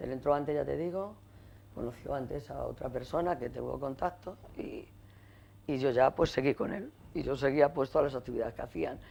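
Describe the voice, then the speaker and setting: A woman speaks at a very deep, low pitch with a dark, mellow tone and vocal fry. Her intonation is lively and her pace fairly quick. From Getafe, Madrid, Spain. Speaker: women's rights activist and trade unionist. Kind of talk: oral history interview.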